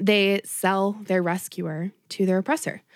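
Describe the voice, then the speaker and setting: On a very clean recording with a silent background and a dry, close sound with no echo, a woman speaks at medium pitch with fairly even intonation. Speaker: podcast host. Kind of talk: casual chat. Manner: chatty.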